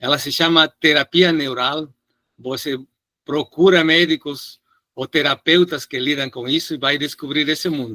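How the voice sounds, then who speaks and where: The speaker has a Spanish accent and a bright, sharp tone, with fairly even intonation at a moderate pace. The recording is very clean, with a silent background. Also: man. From Peru. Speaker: physician lecturer. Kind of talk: lecture Q&A answer.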